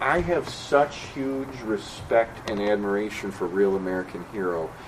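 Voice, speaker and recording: Over noticeable background noise, a man talks at a moderate pace with a fairly low pitch and ordinary pitch variation. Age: 50s. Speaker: panel moderator and writer. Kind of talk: panel discussion. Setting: stage with audience.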